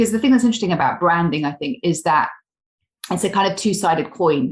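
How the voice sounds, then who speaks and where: A woman speaks in a somewhat breathy voice. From England. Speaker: career coach. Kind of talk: podcast interview.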